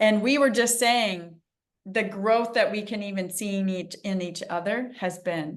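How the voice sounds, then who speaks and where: With audible room echo, a woman in an American accent speaks at a fairly slow pace in an animated tone, her medium pitch showing ordinary pitch variation. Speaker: interview show host. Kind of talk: interview.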